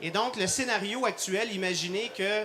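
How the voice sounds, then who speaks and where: Speaking fairly slowly in a Quebec accent, a man with a high pitch uses a raised, projected voice and ordinary pitch variation over noticeable background noise. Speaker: cardiologist and intensive care doctor. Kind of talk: live product demonstration. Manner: hesitant, many fillers.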